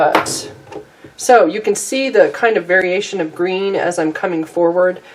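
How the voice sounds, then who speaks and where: Fairly even intonation from a medium-pitched woman at a moderate pace, over noticeable background noise. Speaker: watercolor artist and teacher. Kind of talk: painting tutorial.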